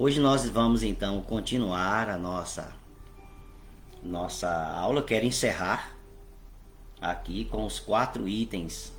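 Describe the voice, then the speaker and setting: Very slow speech with long, frequent pauses and audible room echo. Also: man. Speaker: bishop and Bible teacher. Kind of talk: online Bible class. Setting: online livestream.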